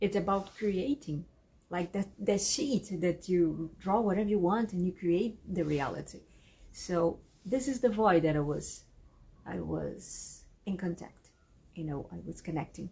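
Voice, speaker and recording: This woman has a Brazilian Portuguese accent and a medium pitch. Her tone is dark and mellow, and somewhat breathy. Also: ordinary pitch variation, fairly slow pace. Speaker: spiritual channel and energy healer. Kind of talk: monologue to camera. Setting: video to camera. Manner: halting, searching for words.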